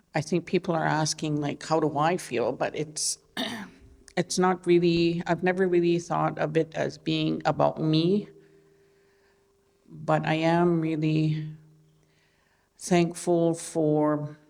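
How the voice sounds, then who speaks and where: A woman with an Albertan accent speaks at a very slow pace with long, frequent pauses. Her very deep, low voice stays monotone and flat. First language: Blackfoot. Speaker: artist. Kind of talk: panel talk. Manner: halting.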